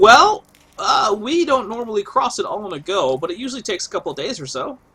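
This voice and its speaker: A man puts on a character voice at an extremely high pitch. He rattles through it at a very fast pace. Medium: actual play. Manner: casual, offhand.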